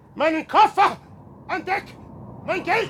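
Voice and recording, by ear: A man uses a put-on character voice at an extremely high pitch with a fairly bright tone. He speaks at a slow pace with lively intonation.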